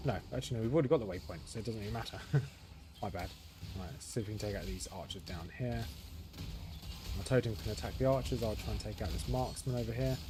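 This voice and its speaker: A very fast man's voice, fairly low in pitch with very wide pitch swings, audible room echo and music in the background. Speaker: gaming streamer. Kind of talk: live gameplay commentary. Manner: casual, thinking aloud.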